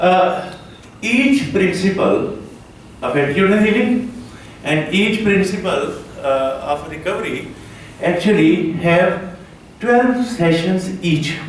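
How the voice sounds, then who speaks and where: A man talks in a high voice with lively intonation. Noticeable background noise and audible room echo surround him. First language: not English. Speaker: conference speaker, rehab organization head. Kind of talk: conference talk. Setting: conference hall with audience. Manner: halting, many fillers.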